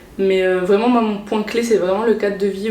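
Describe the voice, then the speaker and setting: Noticeable background noise and audible room echo surround a woman speaking at a medium pitch. Her intonation is monotone and flat, and her pace is fairly quick. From Réunion. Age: 20s. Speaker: cross-border worker, import-export coordinator. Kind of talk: interview. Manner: hesitant, many fillers.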